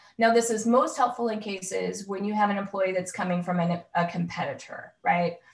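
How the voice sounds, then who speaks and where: A woman speaks in a somewhat breathy voice at a medium pitch. Her intonation stays fairly even. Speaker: employment lawyer. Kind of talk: webinar presentation.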